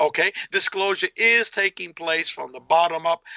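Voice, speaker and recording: An animated man's voice, high-pitched, at a moderate pace. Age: 60s. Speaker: researcher of UFO experiencers, tax attorney. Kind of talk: heated interview rant.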